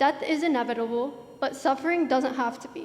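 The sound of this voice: A woman speaks with a high pitch. Her tone is slightly mellow. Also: ordinary pitch variation, fairly quick pace.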